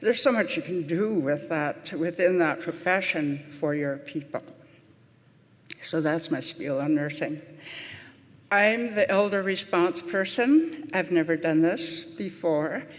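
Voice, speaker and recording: A woman speaks with an American accent at a fairly slow pace, her pitch fairly low with ordinary variation. Noticeable background noise runs under the recording. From US Midwest, Pine Ridge Reservation, South Dakota (Lakota). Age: 70s. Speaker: nurse and elder. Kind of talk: conference talk.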